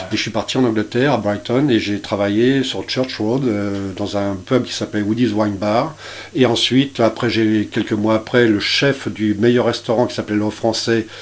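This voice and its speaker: A man's medium-pitched voice, fairly even in intonation, comes through noticeable background noise. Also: moderate pace. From France, Brittany (Dinard). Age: 60s. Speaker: chef. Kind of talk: radio interview. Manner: halting, many hesitations.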